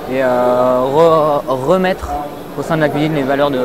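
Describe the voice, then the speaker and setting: Audible room echo and noticeable background noise surround a man whose fairly high voice holds a fairly even intonation. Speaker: startup founder. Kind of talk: interview. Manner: halting, many hesitations.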